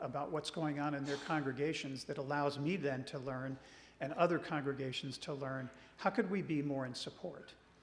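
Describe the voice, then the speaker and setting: Audible room echo hangs on a man's speech. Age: 60s. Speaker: regional church minister. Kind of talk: church presentation.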